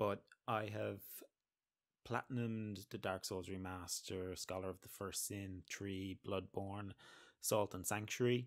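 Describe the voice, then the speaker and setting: At a moderate pace, a man with an Irish accent talks at a fairly low pitch, his loudness swinging widely over a quiet background. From Ireland. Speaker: gamer, let's player. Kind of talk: casual gameplay commentary. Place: home room. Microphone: studio mic.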